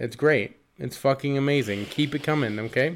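Animated in tone, a man speaks with a fairly high pitch and ordinary pitch variation. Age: 30s. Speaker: podcast co-host. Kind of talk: casual chat.

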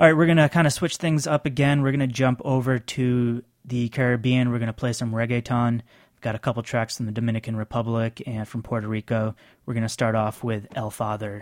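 A man's ordinary speaking voice at a medium pitch, fairly quick in pace with fairly even intonation, dry and close with no echo on a very clean recording with a silent background. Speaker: radio host. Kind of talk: radio dj patter. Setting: studio. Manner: conversational, easy-going, informal.

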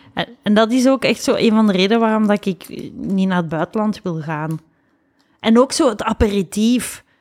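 A woman with a normal speaking voice talks at a moderate pace in a fairly high pitch, with ordinary pitch variation and a dry, close sound with no echo. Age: 40s. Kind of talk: casual chat.

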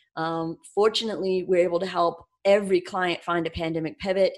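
Recorded very cleanly against a silent background, a woman uses a normal speaking voice at a moderate pace with fairly even intonation. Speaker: business owner. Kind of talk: casual interview.

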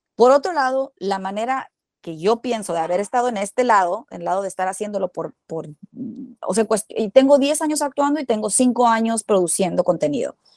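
A woman has an ordinary speaking voice with a fairly high pitch. She talks at a fairly quick pace with lively intonation. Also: dry, close sound with no echo. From Mexico, Culiacán, Sinaloa. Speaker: actress and screenwriter. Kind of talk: interview, casual chat.

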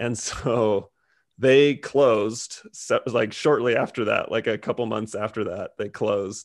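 Over a quiet background, a man with an American accent speaks at a fairly slow pace in an unremarkable speaking voice. His pitch is medium and his intonation fairly even. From California. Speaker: comedian and comedy club owner. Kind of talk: casual interview.

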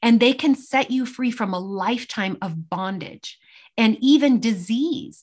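Her voice is an unremarkable speaking voice, fairly high in pitch with lively intonation. The woman speaks at a fairly slow pace. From New York, US (Italian-Argentine immigrant family). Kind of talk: interview testimony.

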